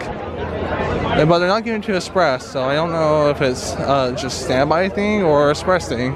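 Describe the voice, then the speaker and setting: A man speaks over crowd noise in the background, with audible room echo. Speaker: travel vlogger. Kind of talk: casual vlog narration. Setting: outdoors at a theme park at night. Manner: animated.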